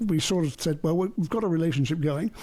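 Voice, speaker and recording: A man with an English accent speaks in a dark, mellow tone. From England. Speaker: artist and retired finance consultant. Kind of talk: interview.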